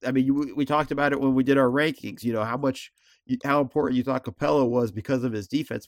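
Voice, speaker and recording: A man talks very fast in an animated tone, recorded very cleanly against a silent background. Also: medium pitch for a man, dry, close sound with no echo. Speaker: podcast host. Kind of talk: casual sports chat. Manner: animated, jokey.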